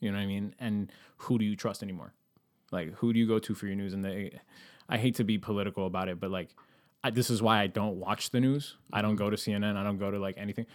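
A man with a fairly low pitch talks at a very fast pace on a very clean recording with a silent background. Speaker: creative director and video director. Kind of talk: casual chat.

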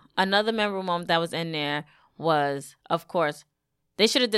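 Recorded very cleanly over a silent background, a woman speaks with a New York accent. Her pitch is fairly low. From Brooklyn, New York. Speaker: wrestling podcast host. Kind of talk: casual chat.

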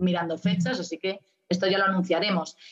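At a medium pitch and a moderate pace, a woman with an unremarkable speaking voice keeps fairly even intonation. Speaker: musician and community manager. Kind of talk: interview.

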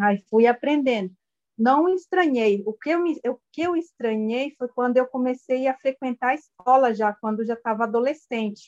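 A woman with a high pitch speaks at a moderate pace, her sound dry and close with no echo. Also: ordinary pitch variation. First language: Guarani Mbya (speaking Portuguese). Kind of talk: interview. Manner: halting.

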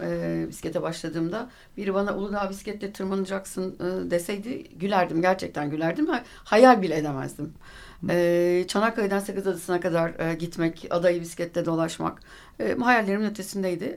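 A woman talks at a moderate pace and medium pitch. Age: 50s. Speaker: recreational cyclist. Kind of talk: radio interview. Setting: radio studio. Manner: halting, many fillers.

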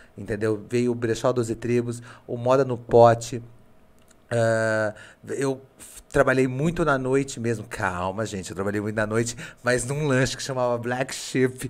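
In a very clean recording with a silent background, a man with an unremarkable speaking voice talks at a medium pitch and a fairly slow pace, his intonation fairly even. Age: 30s. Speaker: podcast host. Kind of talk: casual chat. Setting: studio.

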